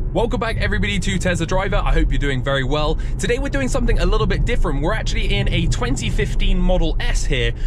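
A man's very fast speech with hardly any pauses, dry with no echo, over noticeable background noise. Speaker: car channel host driving. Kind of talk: casual vlog commentary. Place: car.

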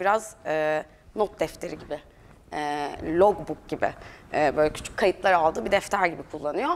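Light background noise is present. A woman talks fairly slowly. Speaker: curator. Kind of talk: exhibition talk. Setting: gallery with audience. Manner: hesitant, many filler sounds. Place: hall.

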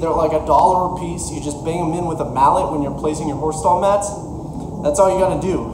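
Noticeable background noise runs under the audio. A man speaks with fairly even intonation. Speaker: fitness vlogger. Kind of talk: casual vlog chat. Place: garage. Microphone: camera far.

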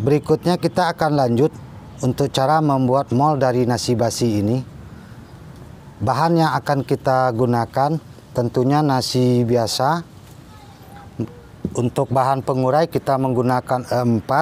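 Over light background noise, a man speaks at a fairly slow pace with fairly even intonation and long, frequent pauses. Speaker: home gardening vlogger. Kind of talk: tutorial. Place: garden. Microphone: phone near.

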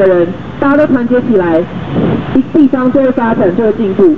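Speaking at a fairly quick pace, a man with an extremely high pitch uses ordinary pitch variation over noticeable background noise. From Taiwan, Zhongli (Taoyuan); Taiwan. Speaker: local council candidate; council candidate. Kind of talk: campaign street speech. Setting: outdoors at train station, raised platform. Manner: impassioned. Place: street. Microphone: camera far.

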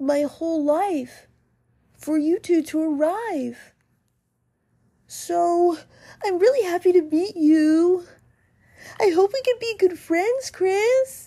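Using a put-on character voice at an extremely high pitch, a woman speaks at a fairly slow pace with lively intonation and long, frequent pauses. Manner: sweet, shy, a little nervous.

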